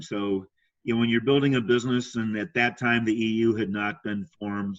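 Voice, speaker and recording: With a plain, everyday voice, a man talks at a fairly quick pace and medium pitch, with ordinary pitch variation. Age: 60s. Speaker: sales trainer and speaker. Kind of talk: casual chat. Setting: podcast interview.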